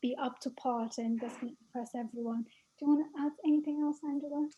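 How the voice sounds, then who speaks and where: Her high-pitched voice has a dark, mellow tone, and this woman talks at a fairly quick pace with fairly even intonation. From not American. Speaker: arts project co-founder. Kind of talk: panel discussion.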